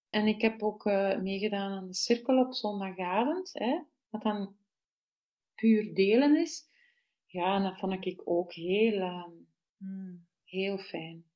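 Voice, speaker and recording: A woman speaks with a Flemish accent at a very slow pace. Her pitch sits in the medium range and varies in an ordinary way. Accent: Flemish Dutch. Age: 40s. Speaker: festival participant. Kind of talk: casual chat. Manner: halting.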